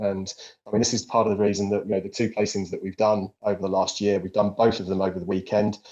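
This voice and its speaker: This man talks at a very fast pace with a British accent. His voice has a fairly low pitch. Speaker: company CEO hosting investor Q&A. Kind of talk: live investor Q&A. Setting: online audio chat room.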